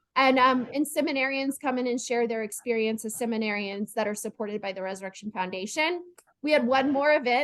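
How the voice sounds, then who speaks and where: A woman speaks with a high voice. Her pitch variation is ordinary. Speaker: planned giving specialist, presenter. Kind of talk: webinar presentation. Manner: fast.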